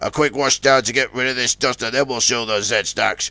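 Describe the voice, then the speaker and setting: A man's put-on character voice, raspy and monotone with flat intonation, at medium pitch and a moderate pace, in a dry, close sound with no echo. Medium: read story.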